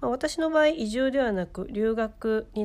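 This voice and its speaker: A woman is speaking. Her pitch swings very widely. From Ehime, Shikoku, Japan. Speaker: podcast host and freelance writer. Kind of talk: casual chat; scripted narration. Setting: live-streamed remote recording.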